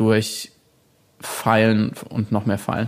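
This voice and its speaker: Monotone and flat, this man's delivery stays at a medium pitch. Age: 30s. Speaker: author and journalist. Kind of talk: interview. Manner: halting, many fillers.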